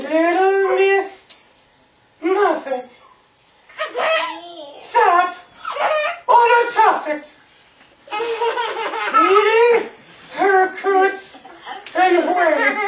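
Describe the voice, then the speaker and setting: In a cartoonish character voice, squeaky and extremely high, someone talks at a very slow pace with long, frequent pauses and a slight echo. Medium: puppet show. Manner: fussy, theatrical.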